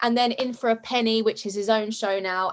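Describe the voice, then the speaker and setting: Against a quiet background, a woman with a British accent talks loudly at a moderate pace, her high-pitched voice carrying a bubbly tone. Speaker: comedy sketch creator and actress. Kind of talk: casual interview chat.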